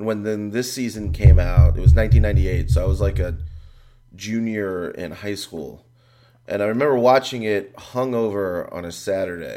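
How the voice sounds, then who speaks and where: Audible room echo, big swings in loudness and noticeable background noise. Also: man, fairly low pitch for a man, lively intonation, moderate pace. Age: 30s. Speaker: comedian and writer. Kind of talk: casual chat.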